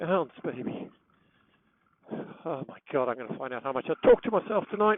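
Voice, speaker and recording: A man with an English accent speaks at a fairly high pitch and a moderate pace. His pitch swings very widely, and he takes long, frequent pauses. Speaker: motorcycle vlogger. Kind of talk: riding commentary to himself. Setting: riding a motorcycle outdoors in rain. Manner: loud; animated.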